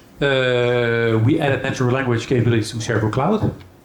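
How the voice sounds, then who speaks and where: Through audible room echo and noticeable background noise, a man speaks at a medium pitch with ordinary pitch variation. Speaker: software company executive. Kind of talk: conference keynote. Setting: stage with audience. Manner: fast; hesitant fillers.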